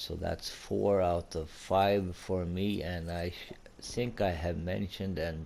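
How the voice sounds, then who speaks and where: A man's very deep, low voice with fairly even intonation at a very slow pace. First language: Swedish. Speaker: gaming YouTuber. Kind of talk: gameplay commentary. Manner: halting.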